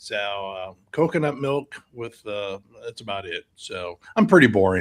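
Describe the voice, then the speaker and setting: Lively intonation and big swings in loudness mark an ordinary speaking voice at a fairly slow pace. The sound is dry and close, with no echo. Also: man, medium pitch for a man. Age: 60s. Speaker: firefighter behavioral health advocate. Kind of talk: interview conversation.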